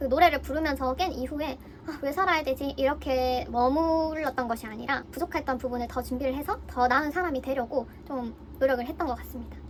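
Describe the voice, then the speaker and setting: A woman speaks fairly quickly in a high voice with ordinary pitch variation. Background noise is noticeable throughout. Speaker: philosophy explainer YouTuber. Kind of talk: educational explainer monologue.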